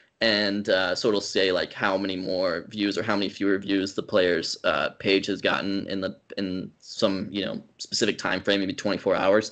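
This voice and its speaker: In a quiet background, a man speaks at a fairly low pitch. His intonation is monotone and flat. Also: moderate pace. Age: 20s. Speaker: baseball YouTuber. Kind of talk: casual interview. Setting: video call. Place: home room. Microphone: headset.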